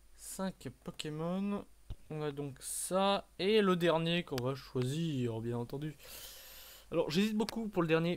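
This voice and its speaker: The recording is very clean, and the background is silent. Speech unfolds at a very slow pace. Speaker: gaming youtuber. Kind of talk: gameplay commentary. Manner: hesitant, filler-heavy.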